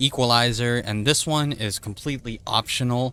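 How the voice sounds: A man speaks at a medium pitch and a fairly quick pace, his booming voice bright and sharp in tone with ordinary pitch variation. The recording is very clean, with a silent background.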